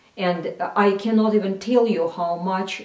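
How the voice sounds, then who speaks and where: Amid audible room echo, a woman with a medium-pitched voice talks at a fairly slow pace with ordinary pitch variation. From Russia. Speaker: cultural analyst. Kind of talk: recorded address.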